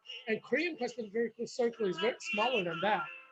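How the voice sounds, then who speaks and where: A man speaks in an animated tone at an extremely high pitch, with noticeable background noise. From South Korea, moved to US as a child. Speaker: political candidate. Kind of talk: casual monologue. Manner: rambling with many fillers.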